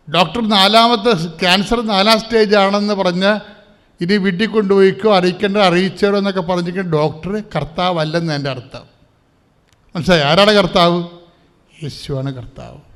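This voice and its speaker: With audible room echo, a man speaks in a high pitch with ordinary pitch variation and big swings in loudness. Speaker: preacher leading prayer service. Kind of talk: sermon. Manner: animated.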